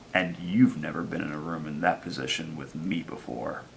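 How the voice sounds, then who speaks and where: A man puts on a raspy character voice with a very deep, low pitch at a moderate pace. Clear background noise is audible. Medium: short film. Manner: terse, curt.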